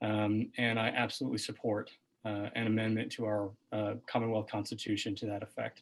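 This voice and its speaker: Soft-spoken and fairly low-pitched, a man talks at a fairly quick pace in a monotone, flat intonation. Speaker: political candidate, physician. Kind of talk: candidate forum answer. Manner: halting.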